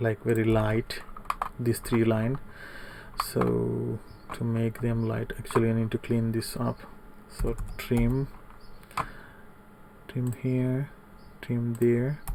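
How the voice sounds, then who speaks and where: A soft-spoken man at a very slow pace, with medium pitch, monotone, flat intonation, long, frequent pauses and noticeable background noise. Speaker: CAD tutorial instructor. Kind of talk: tutorial.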